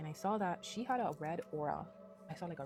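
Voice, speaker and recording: A woman speaks quietly at a fairly low pitch. Music sits in the background. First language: Spanish. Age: 20s. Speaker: hairstylist and spiritual vlogger. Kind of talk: casual personal vlog monologue. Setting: outdoors in nature. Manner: quiet, low; hesitant, unprepared.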